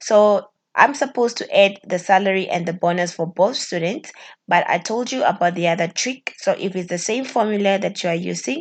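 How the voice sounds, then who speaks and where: A woman with a normal speaking voice at a medium pitch and fairly quick pace, with ordinary pitch variation against a quiet background. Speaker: spreadsheet tutorial teacher. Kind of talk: tutorial.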